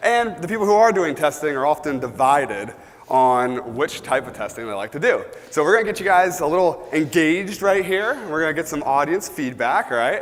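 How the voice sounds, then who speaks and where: Loud speech comes at a fairly quick pace with very wide pitch swings. Room echo is audible, and background noise is noticeable. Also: man, fairly high pitch for a man. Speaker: conference speaker. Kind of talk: conference talk. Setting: stage with audience.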